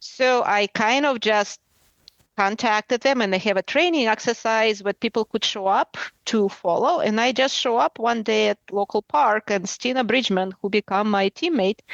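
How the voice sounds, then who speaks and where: The speaker has a Russian accent and talks at a moderate pace with ordinary pitch variation and very even loudness. The sound is dry and close with no echo, and the background is quiet. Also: woman, fairly high pitch for a woman. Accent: Russian, pronounced. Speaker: adventure racer. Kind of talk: interview.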